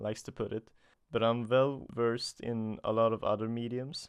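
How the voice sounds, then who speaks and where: Against a quiet background, a man with a Swedish accent talks at a moderate pace in a flat monotone. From Sweden. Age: 20s. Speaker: comic artist. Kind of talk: solo podcast monologue. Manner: halting.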